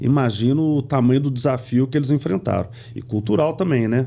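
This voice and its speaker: There's a dark, mellow tone to this man's somewhat breathy voice, which moves at a moderate pace with ordinary pitch variation. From Brazil, moved often (São Paulo, Pernambuco, Rio de Janeiro). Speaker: company CEO. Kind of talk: podcast interview. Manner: conversational, many fillers.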